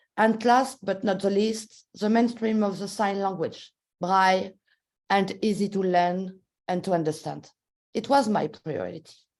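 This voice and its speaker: A woman speaks with a French accent at a medium pitch. Her pace is fairly slow and her intonation fairly even. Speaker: policy maker. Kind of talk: webinar talk. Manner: halting.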